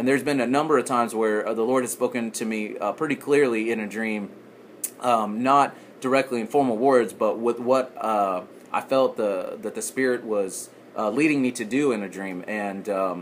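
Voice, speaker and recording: With a Texan accent, a man talks at a medium pitch and moderate pace, his pitch varying in an ordinary way. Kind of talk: casual podcast talk. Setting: background noise.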